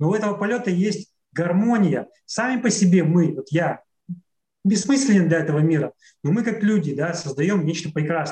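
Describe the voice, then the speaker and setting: A man with a high pitch and a dark, mellow tone speaks at a moderate pace with ordinary pitch variation. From Russian Far East, near Khabarovsk. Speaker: traveler and author. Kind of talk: casual interview conversation.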